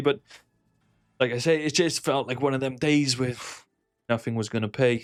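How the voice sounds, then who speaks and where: In a Welsh accent, a man talks at a fairly quick pace, in a very clean recording with a silent background. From Wales. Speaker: slots gambling streamer. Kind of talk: casual commentary while gambling. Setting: home recording with speakers. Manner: animated, swearing.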